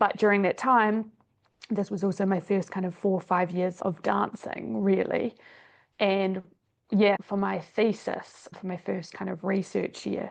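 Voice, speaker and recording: A woman speaks with a New Zealand accent at a fairly slow pace. Her intonation stays fairly even. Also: medium pitch for a woman. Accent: New Zealand, persisting. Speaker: exercise scientist and dance teacher. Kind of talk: podcast interview.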